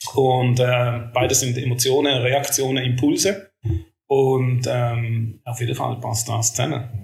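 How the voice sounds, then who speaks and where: At a very slow pace, a man with a medium pitch speaks with fairly even intonation. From Switzerland, Schaffhausen. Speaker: podcast co-host. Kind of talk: casual chat.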